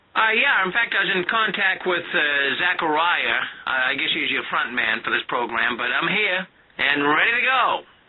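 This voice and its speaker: A man speaks at a moderate pace in a high voice, his pitch swinging very widely while his loudness stays very even over noticeable background noise. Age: 60s. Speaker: former Jehovah's Witness, anti-sect show host. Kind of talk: radio interview. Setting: internet radio call-in.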